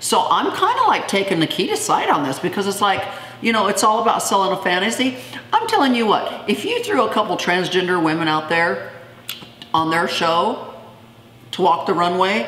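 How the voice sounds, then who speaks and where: At a moderate pace, a woman speaks amid noticeable background noise and audible room echo. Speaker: YouTuber. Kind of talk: casual chat. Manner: animated.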